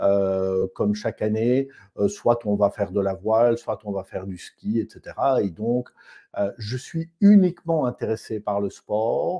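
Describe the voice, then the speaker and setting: With a Belgian accent, a man speaks at a fairly low pitch and fairly slow pace, in a dark, mellow tone with ordinary pitch variation against a quiet background. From Belgium (Namur area). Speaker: osteopath. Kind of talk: testimony.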